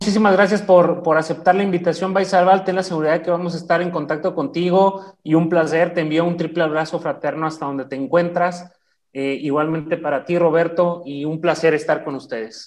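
A high-pitched man at a fairly quick pace with hardly any pauses. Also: fairly even intonation. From Chihuahua, Mexico. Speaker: retired army officer, podcast co-host. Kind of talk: casual chat.

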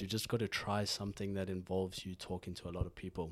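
A man speaks with a South African accent. His pitch is fairly low and his pace fairly quick. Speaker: podcast host. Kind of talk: casual chat. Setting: studio.

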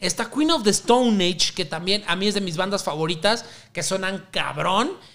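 Animated in tone, a man with a high pitch speaks at a fairly slow pace with lively intonation. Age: 20s. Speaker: podcast host. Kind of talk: casual music podcast monologue. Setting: home recording at night.

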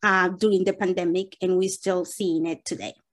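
A woman of medium pitch with a Spanish accent, set against a quiet background. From Dominican Republic (Santo Domingo). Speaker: nonprofit executive director. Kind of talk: interview answers.

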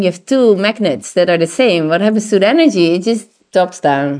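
Speaking at a fairly quick pace, a woman with a Dutch accent uses lively intonation in a dark, mellow tone. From Netherlands. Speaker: tantra teacher and therapist. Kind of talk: interview. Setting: recorded in Koh Phangan.

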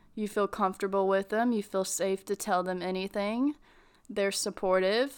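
On a very clean recording with a silent background, a woman has an ordinary speaking voice at medium pitch, speaking at a moderate pace with fairly even intonation. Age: 20s. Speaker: podcast host. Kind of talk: casual solo talk. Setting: home.

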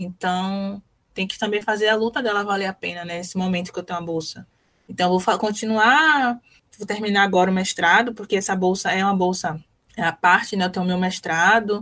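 Using an ordinary speaking voice, a woman talks at medium pitch and a fairly quick pace with fairly even intonation. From Brazil, Salvador (Bahia). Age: 20s. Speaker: medical physicist, master's student. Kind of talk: radio interview. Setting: radio interview.

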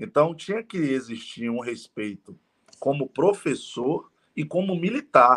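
His fairly high voice has a bright, sharp tone and lively intonation. The man goes at a fairly slow pace with long, frequent pauses. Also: dry, close sound with no echo. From Bahia, Brazil (Salvador). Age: 30s. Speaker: network marketing entrepreneur. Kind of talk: interview. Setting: live stream.

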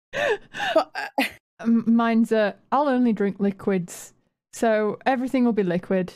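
A woman speaks with a Yorkshire accent at a fairly slow pace, her voice fairly high-pitched with ordinary pitch variation. Her loudness stays very even, and the recording is very clean with a silent background. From Yorkshire, northern England. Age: 30s. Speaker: podcast host and streamer. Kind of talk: casual chat.

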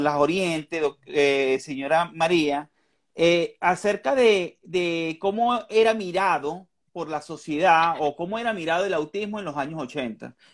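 At a very slow pace, a man speaks with a high pitch and ordinary pitch variation on a very clean recording with a silent background. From Venezuela. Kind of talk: interview. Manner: halting.

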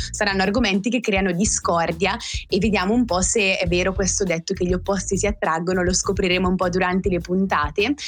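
Over noticeable background noise, a woman speaks at a medium pitch and a fairly quick pace, her loudness very even and her intonation fairly even. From northern Italy, Val Seriana near Bergamo. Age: 20s. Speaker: podcast co-host. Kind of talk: casual chat.

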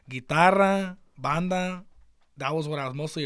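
With an ordinary speaking voice, a man with an American accent talks at a moderate pace with ordinary pitch variation. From Baja California, Mexico. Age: 20s. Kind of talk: casual chat. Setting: studio.

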